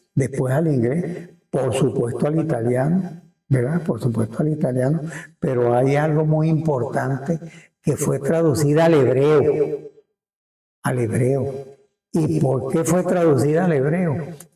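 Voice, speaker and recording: A somewhat breathy man with a fairly high pitch, a dark, mellow tone, ordinary pitch variation, very even loudness and a fairly slow pace. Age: 80s+. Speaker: town chronicler. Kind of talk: interview answer. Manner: hesitant, repetitive.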